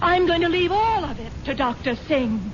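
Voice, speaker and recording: A woman speaks with lively intonation. Background noise is noticeable behind her. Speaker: wealthy wife character in a radio drama. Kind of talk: old-time radio drama dialogue.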